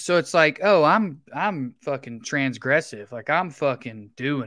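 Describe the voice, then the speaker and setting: Speaking with a Southern US accent, a man keeps a moderate pace and ordinary pitch variation on a very clean recording with a silent background. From Tennessee. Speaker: comedian. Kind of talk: casual chat.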